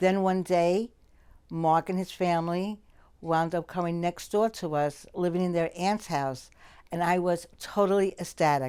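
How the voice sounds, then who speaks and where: In a plain, everyday voice with an American accent, the speaker talks at a fairly slow pace with fairly even intonation. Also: woman, fairly low pitch for a woman. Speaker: childhood friend. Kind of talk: documentary interview.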